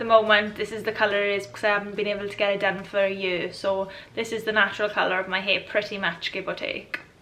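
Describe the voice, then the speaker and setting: This is a woman speaking. She has a Welsh accent. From Wales. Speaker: YouTuber. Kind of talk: casual talk to camera.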